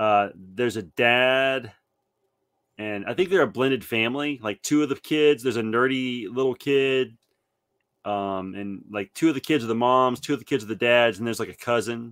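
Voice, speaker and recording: On a very clean recording with a silent background, a man speaks in an ordinary speaking voice at a medium pitch and moderate pace, with ordinary pitch variation. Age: 40s. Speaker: podcast co-host. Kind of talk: casual chat.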